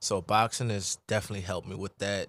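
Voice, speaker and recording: Recorded very cleanly against a silent background, a man with a New Orleans accent speaks with fairly even intonation in a dry, close sound with no echo. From New Orleans, Louisiana. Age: 20s. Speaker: professional boxer. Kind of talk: casual interview. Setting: radio studio. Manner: laid-back, calm.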